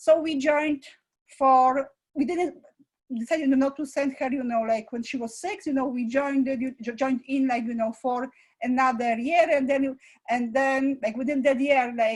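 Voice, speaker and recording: The speech goes at a moderate pace with fairly even intonation. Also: woman, high pitch for a woman. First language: not English. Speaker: school founder and director; parent. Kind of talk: interview. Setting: live online presentation. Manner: halting, many fillers.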